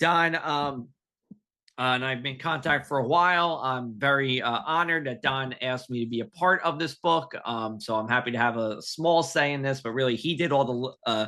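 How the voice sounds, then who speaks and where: A man with a New Jersey accent speaks at a medium pitch. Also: ordinary pitch variation, moderate pace. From New Jersey, Union County. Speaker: talk show host. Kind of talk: casual chat.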